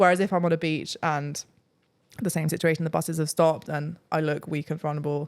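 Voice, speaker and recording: A woman with a British accent speaks at a very fast pace in a very deep, low pitch. The recording is very clean, with a silent background. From England, countryside outside London. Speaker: travel vlogger. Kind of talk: casual chat. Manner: animated.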